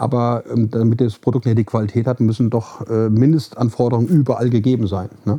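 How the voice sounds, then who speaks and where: At a fairly quick pace with hardly any pauses, a man speaks at a medium pitch with fairly even intonation. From Hesse, Germany (Marburg). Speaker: facility management consultant and founder. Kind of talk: interview. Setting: studio. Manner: halting, many fillers.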